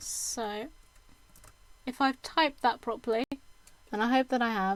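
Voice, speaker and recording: A woman talks at a moderate pace in a high pitch with fairly even intonation. The sound is dry and close, with no echo. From UK. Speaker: streamer. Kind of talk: casual chat. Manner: hesitant, many fillers.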